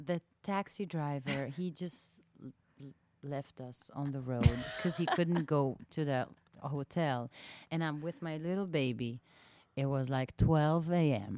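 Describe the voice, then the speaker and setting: With an Israeli accent, a woman speaks at a fairly slow pace in a very deep, low pitch, her tone dark and mellow, with ordinary pitch variation and big swings in loudness. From southern Israel, small town. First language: Hebrew. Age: 30s. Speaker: singer-songwriter. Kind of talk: casual interview chat. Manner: halting, many fillers.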